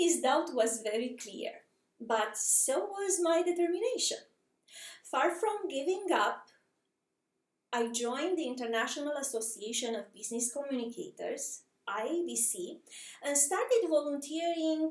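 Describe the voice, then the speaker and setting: A woman's high voice in a Romanian accent, fairly slow, with very wide pitch swings. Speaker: communications professional. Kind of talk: personal story narration.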